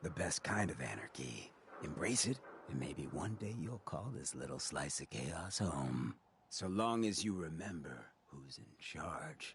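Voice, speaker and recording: A man's put-on character voice, very deep and low in pitch, with very wide pitch swings at a fairly slow pace. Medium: video game. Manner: casual, streetwise.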